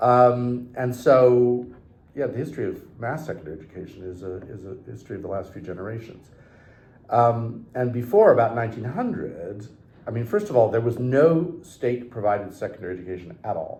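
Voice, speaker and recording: A man speaks fairly quickly in a somewhat breathy, dark and mellow tone, with lively intonation. His loudness swings widely, and the room echo is audible. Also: medium pitch for a man. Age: 60s. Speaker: historian, professor. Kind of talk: interview conversation. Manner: hesitant, many fillers.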